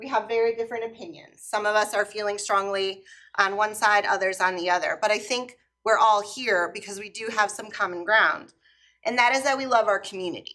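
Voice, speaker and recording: With a bright, sharp tone and fairly high pitch, a woman speaks at a fairly quick pace in fairly even intonation, her loudness swinging widely. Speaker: teacher speaking at public comment. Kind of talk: public comment at council meeting. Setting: council chamber, full room. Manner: loud, projecting teacher voice.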